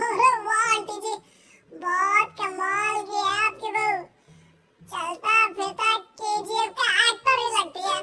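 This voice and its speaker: A woman puts on a squeaky, cartoonish character voice. She speaks at a fairly slow pace. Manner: brash, rough.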